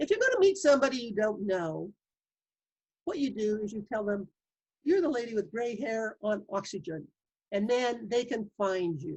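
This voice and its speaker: A woman with a somewhat breathy, fairly high-pitched voice speaks at a moderate pace with lively intonation and long, frequent pauses. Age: 70s. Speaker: pulmonary rehab graduate living with lung disease. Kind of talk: interview.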